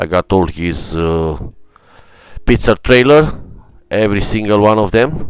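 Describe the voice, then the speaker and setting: A man speaks with an Ethiopian accent. His pitch varies in an ordinary way. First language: not English. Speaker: gaming streamer. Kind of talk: live stream commentary. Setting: live stream. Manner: halting, many fillers.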